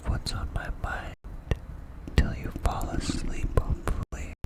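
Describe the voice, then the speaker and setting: A man whispering over noticeable background noise. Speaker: ASMR creator. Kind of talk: ASMR whisper ramble. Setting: bedroom, window open, night ambience. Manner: whispered.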